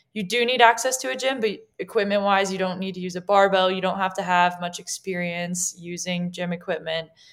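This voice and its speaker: A woman with an American accent and a plain, everyday voice speaks at a fairly quick pace and medium pitch, with ordinary pitch variation and hardly any pauses. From Colorado mountains. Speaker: strength and conditioning coach. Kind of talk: interview.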